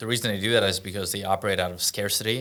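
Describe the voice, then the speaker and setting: In a Russian accent, a man speaks at a fairly low pitch with monotone, flat intonation and a bright, sharp tone. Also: very clean recording, silent background. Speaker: entrepreneur and event host. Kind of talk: casual podcast interview.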